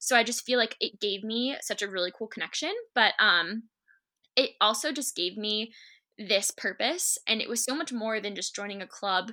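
The voice has an American accent, an animated, bright, sharp tone and ordinary pitch variation on a very clean recording with a silent background. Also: woman, fairly high pitch for a woman, moderate pace. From Massachusetts, Shrewsbury. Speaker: nursing assistant and student club leader. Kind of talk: casual podcast interview.

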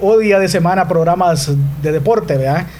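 Music plays behind a man speaking at a high pitch, with audible room echo. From El Salvador, Morazán. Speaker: sports journalist. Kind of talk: interview; live commentary. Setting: radio studio. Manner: articulate, announcer-like. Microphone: too far from the mic.

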